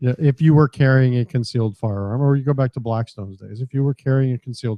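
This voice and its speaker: Mumbling, a man speaks at a very fast pace. His intonation stays fairly even. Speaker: radio co-host. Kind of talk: casual chat. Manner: soft-spoken. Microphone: too quiet.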